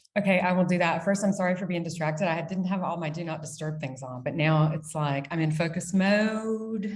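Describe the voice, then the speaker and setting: In an American accent, a woman with a fairly low pitch talks at a fairly quick pace with hardly any pauses, her somewhat breathy voice showing ordinary pitch variation against audible room echo. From United States. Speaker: brand founder and CEO. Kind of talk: casual interview. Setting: video call from dining room. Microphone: echoey sound.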